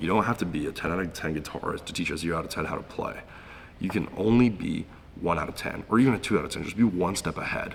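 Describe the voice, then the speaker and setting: Very fast male speech, very deep and low, with ordinary pitch variation amid noticeable background noise. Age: 20s. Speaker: young entrepreneur. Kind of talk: casual interview.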